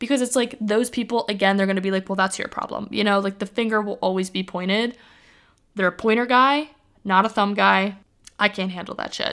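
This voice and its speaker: Using a normal speaking voice, a woman talks at a fairly quick pace with medium pitch and fairly even intonation. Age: 20s. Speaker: podcast host. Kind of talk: solo casual monologue. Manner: casual, filler-heavy (like).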